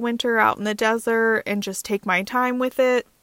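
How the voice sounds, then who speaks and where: A woman with a plain, everyday voice and fairly high pitch speaks at a moderate pace with ordinary pitch variation. The sound is dry and close, with no echo. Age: 30s. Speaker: full-time car-dwelling traveler and content creator. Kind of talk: podcast interview.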